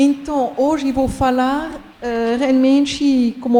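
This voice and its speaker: A woman speaks with a strong French accent over noticeable background noise. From France. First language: French (speaking Portuguese). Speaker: university professor. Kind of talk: conference talk.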